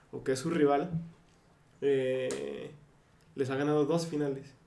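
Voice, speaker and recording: Audible room echo surrounds a man whose fairly high voice stays monotone and flat. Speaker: podcast co-host. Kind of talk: casual chat.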